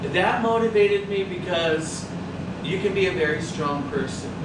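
A man at a moderate pace with ordinary pitch variation, audible room echo and loud background noise. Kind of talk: interview answer. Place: shop. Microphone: camera far.

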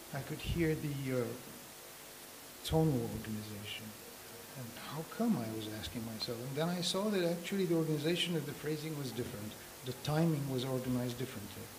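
Noticeable noise sits behind the recording. A man talks at a fairly quick pace. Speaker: panelist. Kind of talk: panel discussion answer. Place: hall. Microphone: handheld.

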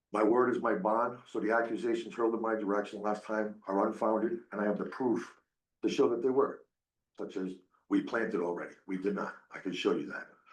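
Audible room echo frames a man talking at a fairly quick pace and fairly low pitch, with ordinary pitch variation.

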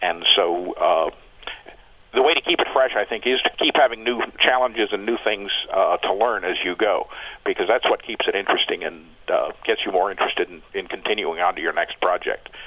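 With an American accent, the speaker moves at a fairly quick pace over noticeable background noise. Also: man. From New England, US. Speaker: master modeler. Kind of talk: interview. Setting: phone call.

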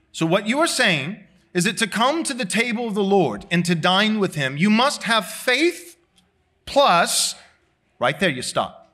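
Over a quiet background, a man with a high pitch and a bright, sharp tone projects a raised voice at a fairly slow pace, his pitch swinging very widely. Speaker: pastor. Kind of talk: sermon. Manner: loud. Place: church. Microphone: lapel.

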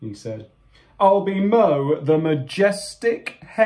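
The text is read aloud in a natural voice, and the intonation rises and falls in a lively way.

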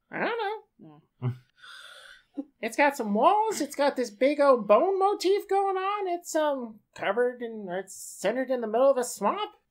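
A put-on character voice with a high pitch speaks at a moderate pace. Its pitch swings very widely, broken by long, frequent pauses. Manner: flippant, cheeky, unbothered; rambling, chatty.

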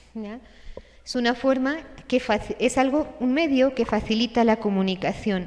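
A woman speaks at a moderate pace in a high voice. Her pitch varies in an ordinary way. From Spain. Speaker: religious sister and speaker. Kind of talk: conference talk. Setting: stage with audience, livestreamed. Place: hall. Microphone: podium.

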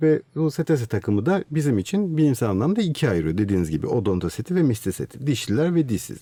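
A man races along at a very fast pace with hardly any pauses, his pitch medium. His dark, mellow tone swings very widely in pitch. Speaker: marine mammal scientist. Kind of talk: interview. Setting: studio.

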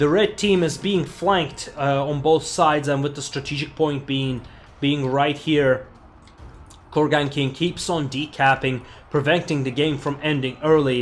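Fairly slow and fairly even in intonation, this man has an ordinary speaking voice. His pitch sits fairly high for a man. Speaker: gaming commentator. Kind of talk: sports commentary. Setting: screen-recorded game commentary. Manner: explanatory and analytical.

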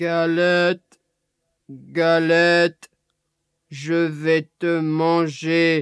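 A put-on character voice from a man, high-pitched and monotone, delivered at a very slow pace. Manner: growling, menacing.

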